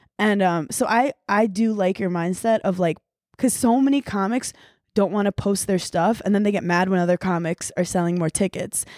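An unremarkable speaking voice from a woman with an American accent, medium-pitched with ordinary pitch variation, at a moderate pace and very even loudness, in a very clean recording with a silent background and a dry, close sound with no echo. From Brooklyn, New York. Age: 30s. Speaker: comedian. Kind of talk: casual chat.

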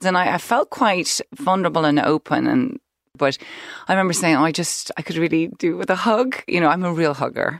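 At a fairly quick pace, a woman talks in a fairly low pitch, the sound dry and close with no echo. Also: lively intonation. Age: 50s. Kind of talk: casual chat. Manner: animated.

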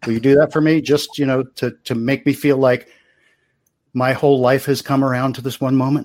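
A man in a Baltimore accent, medium in pitch, flat and monotone at a fairly quick pace. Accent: Baltimore American. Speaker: podcast co-host. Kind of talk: casual chat.

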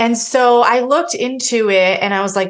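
A woman with an American accent has an ordinary speaking voice. Her pitch is fairly high and her intonation lively. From Pennsylvania, then US Midwest. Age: 30s. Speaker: single mother of four, homeschooling parent. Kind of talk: casual interview chat.

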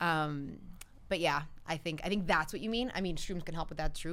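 A woman talks at a very fast pace with a New Jersey accent. Her pitch varies in an ordinary way. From New Jersey, Cuban-American family. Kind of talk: casual chat.

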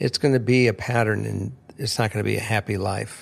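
Vocal fry with ordinary pitch variation on a very clean recording with a silent background. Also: man. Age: 60s. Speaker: host's father, returning guest. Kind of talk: casual chat.

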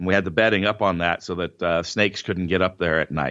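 A man is talking. His accent is American. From Northern California. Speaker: powerlifter and entrepreneur. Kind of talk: interview.

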